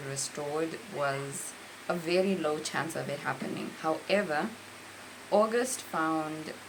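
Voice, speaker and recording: Over noticeable background noise and audible room echo, a woman with a very deep, low pitch speaks very slowly with ordinary pitch variation. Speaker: book reviewer. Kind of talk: book review monologue.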